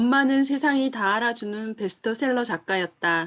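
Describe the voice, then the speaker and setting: A woman speaks in a Daegu accent at a moderate pace, with ordinary pitch variation. The background is quiet. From Daegu, Korea. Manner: reading a novel aloud.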